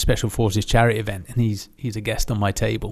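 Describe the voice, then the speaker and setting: This man has a southern English accent. His pitch sits fairly low. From southern England (Aldershot, Hampshire). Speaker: former special forces soldier. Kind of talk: casual interview.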